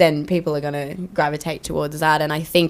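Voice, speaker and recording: In an Australian accent, a woman speaks with a very deep, low pitch. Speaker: country singer. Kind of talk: casual chat. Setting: radio studio. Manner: energetic.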